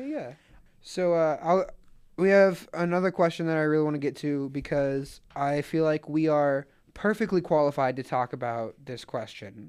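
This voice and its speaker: With an American accent, a man has an ordinary speaking voice at a fairly high pitch with ordinary pitch variation. He talks at a moderate pace against a quiet background. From Atlanta, US South. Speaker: podcast co-host. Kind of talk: casual chat.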